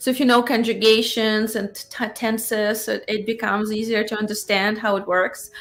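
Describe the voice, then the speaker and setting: A woman with a fairly high pitch speaks at a moderate pace with hardly any pauses. Her intonation is monotone and flat over music in the background. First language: Russian. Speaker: cosplayer and fan film actress. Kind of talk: casual chat.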